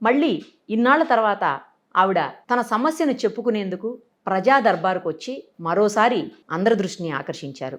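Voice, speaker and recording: Very wide swings mark the pitch. Behind it, the background is silent on a very clean recording. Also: woman, fairly high pitch for a woman. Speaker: TV interviewer. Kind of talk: news-style introduction to camera.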